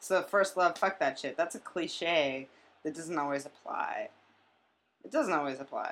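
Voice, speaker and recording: Pausing long and often, a woman with a fairly low voice speaks fairly slowly with lively intonation. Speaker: podcast guest. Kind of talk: casual chat.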